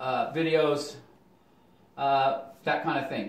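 A man speaks with a fairly high pitch. Some room echo is audible. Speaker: art teacher and self-help video blogger. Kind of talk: casual monologue vlog about journaling and success. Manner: rambling, halting, with many fillers; upbeat, enthusiastic. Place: home room. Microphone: camera far.

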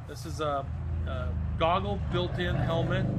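A man at a moderate pace amid loud background noise. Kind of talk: product walkthrough. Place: shop. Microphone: phone near.

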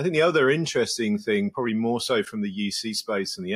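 In a quiet background, a man speaks with an English accent. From England. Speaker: podcast guest. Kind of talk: interview answer. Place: home room. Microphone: earbuds.

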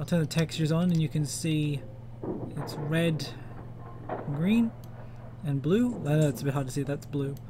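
Someone with an Australian accent speaks with ordinary pitch variation and long, frequent pauses. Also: man, fairly high pitch for a man, moderate pace. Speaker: 3D modeller, game fan. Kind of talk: casual tutorial talk to camera.

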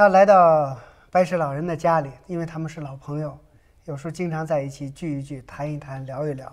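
A man talks fairly quickly in an unremarkable speaking voice. His intonation stays fairly even while his loudness swings widely. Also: fairly high pitch for a man. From Hunan, China. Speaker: painter. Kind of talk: interview. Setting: studio.

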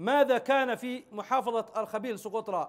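A man is talking. Behind him, things are quiet. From Yemen, Socotra; Yemen. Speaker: interview guest. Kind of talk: TV interview. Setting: satellite link. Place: studio.

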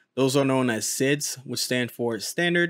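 A man speaks at medium pitch and a moderate pace, his tone fairly bright. The sound is dry and close with no echo.

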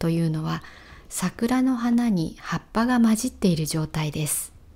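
A woman's somewhat breathy voice swings very widely in pitch. She talks at a fairly slow pace. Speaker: Japanese language teacher. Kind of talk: walking vlog narration for learners. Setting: outdoors. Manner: clear, slow-paced for learners.

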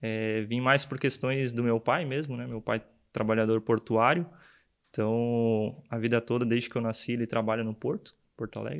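The man's intonation stays fairly even at a moderate tempo, set against a quiet background. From Rio Grande do Sul, Brazil (São Jerônimo, Eldorado do Sul). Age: 20s. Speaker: production engineer. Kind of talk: interview. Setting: studio. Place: studio. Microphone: studio mic.

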